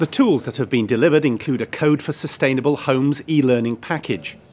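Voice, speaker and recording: Music plays in the background as a man speaks at a moderate pace in a fairly high voice. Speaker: video reporter. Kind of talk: video report presentation.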